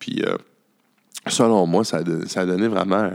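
The speech moves at a very slow pace. Vocal fry runs through the voice. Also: man. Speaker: podcast host. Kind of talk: casual chat. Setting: cabaret bar.

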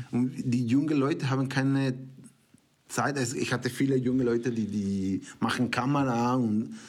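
At a fairly slow pace, a man with a Spanish accent keeps very even loudness, his medium pitch showing ordinary variation. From Mexico. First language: Spanish (speaking German). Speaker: film producer and director. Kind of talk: casual chat. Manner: halting.

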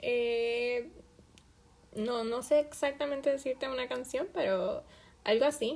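A high-pitched woman with a Puerto Rican accent at a very slow pace. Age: 20s. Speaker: podcast host and student. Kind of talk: self-interview monologue.

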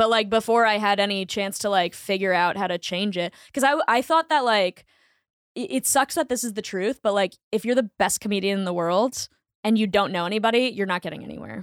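A woman with an American accent and an unremarkable speaking voice talks at a fairly quick pace, her medium pitch moving with ordinary variation, in a very clean, silent recording that sounds dry and close with no echo. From US Northeast, Boston. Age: 20s. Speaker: comedian. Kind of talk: casual chat. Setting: studio.

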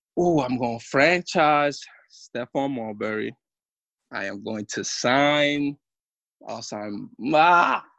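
A man with a New York accent speaks in a bright, sharp tone at a very slow pace, with long, frequent pauses. His pitch variation is ordinary, while his loudness swings widely. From New York City, Washington Heights area. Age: 30s. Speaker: former professional basketball player. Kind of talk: casual interview chat.

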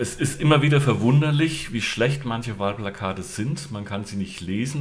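Audible room echo and noticeable background noise fill the recording. A man at medium pitch speaks at a moderate pace with lively intonation. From Hesse, Gießen. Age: 50s. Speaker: local party candidate. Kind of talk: casual interview.

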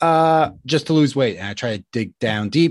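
A man talks at a moderate pace with lively intonation. The background is quiet. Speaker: health and nutrition coach. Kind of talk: solo podcast monologue. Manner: casual, unpolished.

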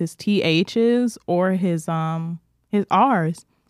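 In a very clean recording with a silent background, a woman talks. Her pitch is fairly low and its variation is ordinary. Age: 20s. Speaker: podcast co-host. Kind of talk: casual chat. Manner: animated.

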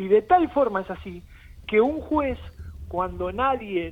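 The man's pitch sits high, and his intonation is lively. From Argentina, Avellaneda (Buenos Aires). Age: 40s. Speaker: football club political candidate. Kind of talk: interview. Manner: halting.

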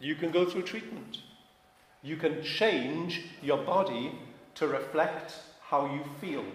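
A man with a Welsh accent speaks very slowly, with long, frequent pauses and a fairly high pitch that varies in an ordinary way. Audible room echo and noticeable background noise surround his voice. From Wales. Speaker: pastor. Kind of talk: sermon.

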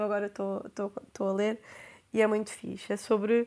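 In a very clean recording with a silent background, a woman speaks with a European Portuguese accent. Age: 20s. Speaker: podcast host. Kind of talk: casual monologue.

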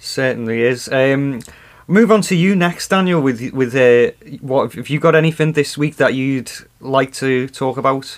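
Man with an unremarkable speaking voice, medium pitch, ordinary pitch variation, and moderate pace. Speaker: podcast host. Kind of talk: casual chat.

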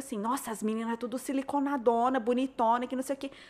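In a very clean recording with a silent background, a woman talks at a fairly quick pace in a high pitch. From São Paulo state interior, Brazil. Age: 30s. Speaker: blogger and influencer. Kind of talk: casual chat.

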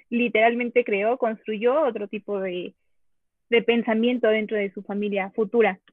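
A woman with an ordinary speaking voice talks fairly slowly at a fairly high pitch. Her intonation stays fairly even. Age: 20s. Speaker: psychology graduate, guest. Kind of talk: casual group discussion.

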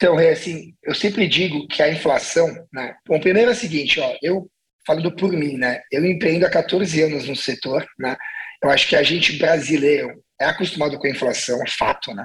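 In an unremarkable speaking voice, a man talks fairly high in pitch, varying it in an ordinary way at a moderate pace. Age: 40s. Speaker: restaurant entrepreneur. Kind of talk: casual interview.

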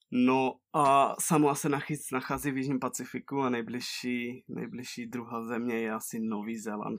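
A man talks at a medium pitch, his pitch varying an ordinary amount. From Czech Republic, near Ostrava. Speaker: traveller. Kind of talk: interview. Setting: call.

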